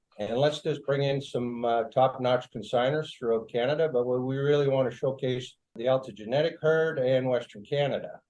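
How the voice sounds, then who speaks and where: A man with an unremarkable speaking voice, medium in pitch, with fairly even intonation. He talks at a moderate pace with hardly any pauses. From Alberta, Canada. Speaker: livestock auctioneer. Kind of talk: casual interview answer, storytelling.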